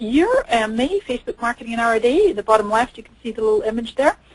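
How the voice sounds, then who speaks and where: Speech races by at a very fast pace in an excited tone, with very wide pitch swings. The sound is dry and close, with no echo. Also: woman. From Canada and Scotland. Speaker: social media marketing expert. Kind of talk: webinar presentation. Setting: online webinar. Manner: fast, excited.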